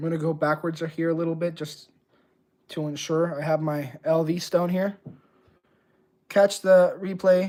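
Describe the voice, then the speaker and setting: A man speaks at high pitch with a dark, mellow tone and a monotone, flat intonation. His pace is moderate, broken by long, frequent pauses. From Puerto Rico. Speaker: razor honing livestreamer. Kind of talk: livestream tutorial chat. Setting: live stream. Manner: casual, conversational.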